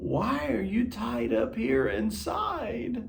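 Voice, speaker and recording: In a put-on character voice, a man speaks very slowly with a warm, gentle tone and a fairly high pitch, with clear background noise behind him. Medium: read story.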